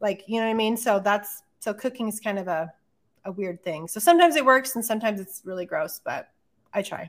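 In an American accent, a woman with a plain, everyday voice speaks at a fairly quick pace and fairly high pitch with lively intonation. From New Mexico, US Southwest. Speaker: podcast co-host and artist. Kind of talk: casual chat.

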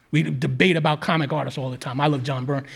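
With a New York accent, a man talks at a fairly quick pace in a fairly high pitch, somewhat breathy and with ordinary pitch variation. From Queens, New York City. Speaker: podcast co-host. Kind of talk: storytelling on stage. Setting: stage with audience.

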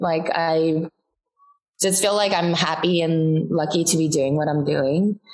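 A woman with an unremarkable speaking voice talks at a fairly slow pace, her pitch fairly low and her intonation fairly even. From US West Coast. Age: 30s. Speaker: TikTok content creator. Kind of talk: casual interview chat.

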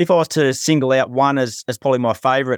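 A man talks in an Australian accent at a fairly quick pace. The sound is dry and close with no echo, on a very clean recording with a silent background. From country Victoria, Australia. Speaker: professional punter. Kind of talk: casual chat.

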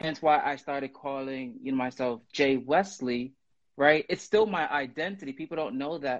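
Speaking with an American accent, a man has an unremarkable speaking voice, fairly high in pitch, with ordinary pitch variation and a moderate pace. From Brooklyn, New York. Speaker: guest writer and poet. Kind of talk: casual chat. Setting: Instagram live video.

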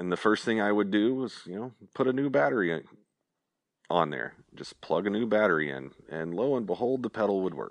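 Speech comes at a fairly quick clip. An American accent is clear throughout. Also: man, fairly low pitch for a man. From Oklahoma. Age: 30s. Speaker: guitar effects parts company owner. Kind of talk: casual interview chat. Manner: halting, many repeated words.

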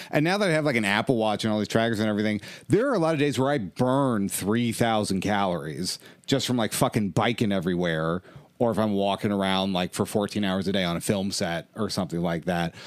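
In a very clean recording with a silent background, a man with an unremarkable speaking voice talks fairly quickly at a fairly low pitch, with lively intonation. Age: 30s. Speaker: stand-up comedian. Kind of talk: casual chat.

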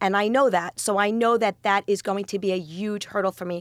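In an unremarkable speaking voice, a woman with an American accent talks at a fairly quick pace, her medium pitch following fairly even intonation, in a very clean, dry, close recording with no echo and a silent background. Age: 40s. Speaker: grocery business owner. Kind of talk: interview.

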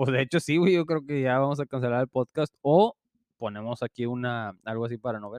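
In an ordinary speaking voice, a man talks at a fairly quick pace and medium pitch with ordinary pitch variation, the sound dry and close with no echo. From Mexico. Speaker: podcast co-host. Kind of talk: casual chat.

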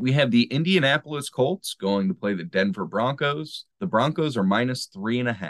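With a normal speaking voice and a medium pitch, a man speaks at a moderate pace with hardly any pauses, in a dry, close sound with no echo. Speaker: sports betting podcast host. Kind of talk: casual chat.

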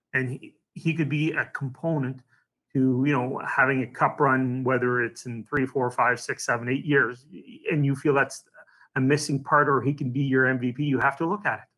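A man with an unremarkable speaking voice talks at a fairly high pitch for a man, his intonation fairly even. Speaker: hockey team executive. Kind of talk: casual interview.

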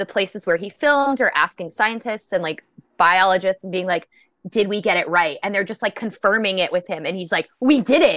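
A plain, everyday voice belongs to a woman speaking fairly quickly at a medium pitch with ordinary pitch variation, recorded with a dry, close sound with no echo against a quiet background. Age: 30s. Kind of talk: casual chat.

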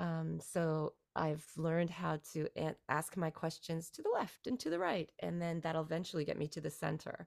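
A woman talks at a moderate pace in a fairly low pitch. She has a plain, everyday voice. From Canada. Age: 40s. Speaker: musician and songwriter. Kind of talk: casual interview. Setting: remote call from Beijing.

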